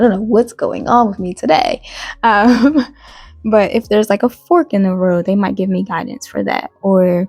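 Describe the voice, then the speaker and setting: With a slight Southern US accent, a woman speaks at a moderate pace at medium pitch with ordinary pitch variation, the sound dry and close with no echo and music in the background. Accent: slight Southern US country twang. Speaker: YouTuber. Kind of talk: casual vlog monologue. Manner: halting, many fillers and restarts.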